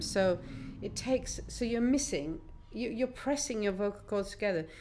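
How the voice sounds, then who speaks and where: A woman speaks at a moderate pace with ordinary pitch variation. Vocal fry runs through her voice. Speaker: singer-songwriter. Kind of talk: radio interview. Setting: radio studio.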